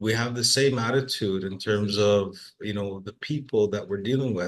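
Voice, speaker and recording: The speaker has a Trinidadian accent and a fairly even intonation. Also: man. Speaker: workforce assessment manager. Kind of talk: webinar discussion. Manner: repetitive, halting.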